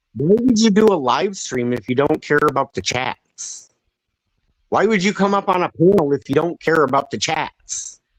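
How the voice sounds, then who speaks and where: A man is shouting loudly at a high pitch with lively intonation and a moderate pace. The sound is dry and close with no echo. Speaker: live stream panel host. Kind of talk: heated debate. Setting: live stream panel. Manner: loud, yelling. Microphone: audio causing problems.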